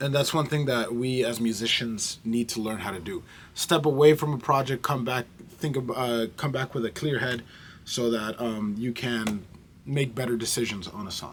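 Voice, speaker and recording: This man has a normal speaking voice at a medium pitch. He talks at a moderate pace. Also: ordinary pitch variation. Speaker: musician and vlogger. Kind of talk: casual vlog. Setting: recording studio.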